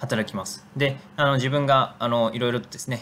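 His pace runs fairly quick. The voice belongs to a man and sits at a medium pitch. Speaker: nonprofit director. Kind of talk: video narration. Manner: hesitant with fillers.

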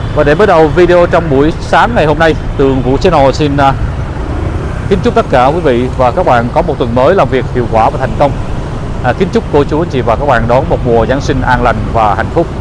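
Noticeable background noise sits behind a man talking at a fairly quick pace with ordinary pitch variation, the sound dry with no echo. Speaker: street vlogger. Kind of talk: casual vlog commentary. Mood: concerned, hopeful. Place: street. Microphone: phone near.

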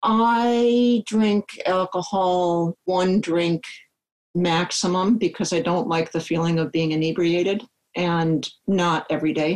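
A woman with a Midwestern American accent, fairly low in pitch, at a very slow pace, with very even loudness and ordinary pitch variation. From US Midwest. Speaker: software engineer and long-distance hiker. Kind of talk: podcast interview.

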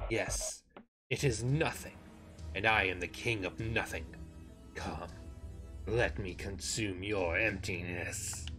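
In a put-on character voice, the speaker goes at a fairly slow pace with long, frequent pauses and ordinary pitch variation while faint music plays in the background. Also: man, fairly low pitch for a man. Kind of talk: grandiose villain speech. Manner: ominous, hungry.

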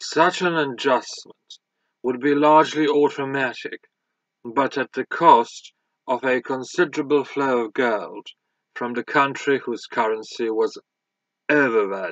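Over a quiet background, a man speaks at a fairly slow pace. The sound is dry, with no echo. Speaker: audiobook reader. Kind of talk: audiobook reading of a scholarly history text, read aloud. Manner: formal, measured, even-paced. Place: home room. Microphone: webcam.

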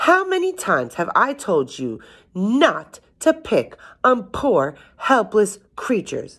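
A woman does a put-on character voice at a slow pace, fairly bright in tone with a slightly husky edge and very wide pitch swings. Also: medium pitch for a woman.

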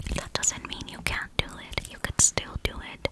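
A woman is whispering in a soothing tone. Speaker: ASMR creator. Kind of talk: ASMR whispered comfort talk with snipping sounds. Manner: soft, soothing, repetitive. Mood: gentle, comforting. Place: home room. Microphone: studio mic.

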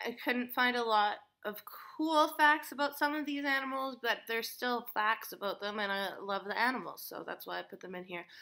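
A woman speaks at a high pitch and moderate pace in a bright, sharp tone, with ordinary pitch variation. Her loudness swings widely over a quiet background. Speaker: animal facts vlogger. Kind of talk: casual vlog chat. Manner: drowsy, tipsy rambling. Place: home room. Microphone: webcam.

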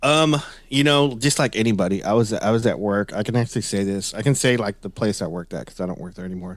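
A man with a Texan accent, fairly low pitch, ordinary pitch variation and a very fast pace, on a very clean recording with a silent background. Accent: Texan American. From Northeast Texas. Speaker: Bigfoot and paranormal researcher. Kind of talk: casual interview. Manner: halting, many repetitions.

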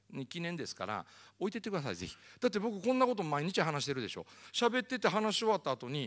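A man with a Kansai accent, very fast and animated, with very wide pitch swings over a quiet background. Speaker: motivational speaker. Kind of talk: lecture. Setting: stage with audience. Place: hall. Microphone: handheld.

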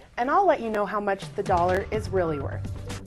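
A plain, everyday voice from a woman with an American accent, at a medium pitch and a fairly quick pace, over light background noise. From United States. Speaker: TV news reporter. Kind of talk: TV news report.

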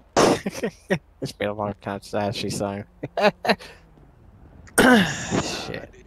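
A guttural, put-on character voice moves at a very slow pace. Long, frequent pauses break up the speech. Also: man, fairly low pitch for a man. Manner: hesitant, stalling.

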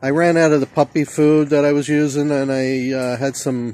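A man speaks at a moderate pace in a dry sound with no echo. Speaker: vlogger. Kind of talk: casual vlog chat. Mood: relaxed, chatty. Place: rain. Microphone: phone near.

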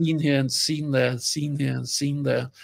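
A man speaks with a Danish accent at a fairly high pitch. The background stays quiet. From Denmark. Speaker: film sound designer. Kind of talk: interview. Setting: video call. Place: home room.

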